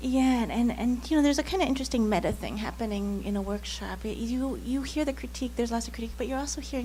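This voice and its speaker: A woman rushes along at a very fast pace, with audible room echo and noticeable background noise around her. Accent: Canadian. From Canada. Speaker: novelist. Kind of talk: panel discussion.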